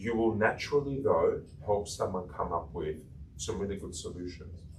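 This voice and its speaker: A man's voice is heard with audible room echo. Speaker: coaching trainer. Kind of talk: workshop lecture.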